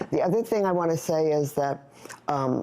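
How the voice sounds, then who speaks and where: A woman speaks in a normal speaking voice, fairly low in pitch. Her pace is moderate and her pitch varies in an ordinary way. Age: 60s. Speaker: hormone health product founder. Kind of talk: tv talk show interview.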